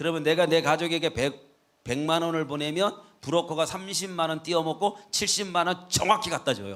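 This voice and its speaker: The man's voice sits high in pitch, with ordinary pitch variation. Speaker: guest pastor. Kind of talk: sermon. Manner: fast.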